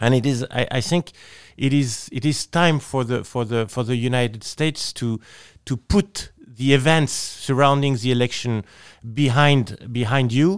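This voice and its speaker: In a French accent, a man of medium pitch speaks at a moderate pace with ordinary pitch variation, on a very clean, silent-background recording with a dry, close sound and no echo. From France. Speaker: politician, member of the European Parliament. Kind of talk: interview. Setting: studio. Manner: halting, with frequent repetitions.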